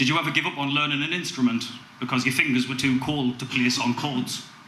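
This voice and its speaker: A man talks with a fairly high pitch. Noticeable background noise runs under his voice. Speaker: spoken word poet. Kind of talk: spoken word poetry performance. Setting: live open mic gig.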